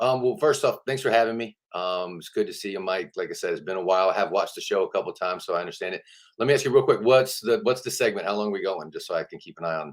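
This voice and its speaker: Speech in an American accent comes at a very fast pace with hardly any pauses. The loudness swings widely. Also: man. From Georgia, US South. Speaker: town councilman and mayoral candidate. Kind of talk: interview. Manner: casual.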